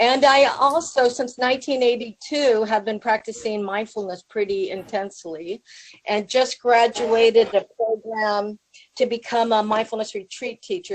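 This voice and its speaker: An unremarkable speaking voice with an American accent, at a moderate pace with ordinary pitch variation. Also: woman. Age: 60s. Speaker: public health professor. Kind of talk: conference talk. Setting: video call to a conference room. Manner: casual, with many fillers.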